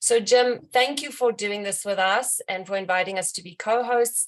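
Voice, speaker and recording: A woman speaks in a South African accent at a medium pitch. Her pace is moderate, with ordinary pitch variation. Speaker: bookstore representative. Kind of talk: event introduction.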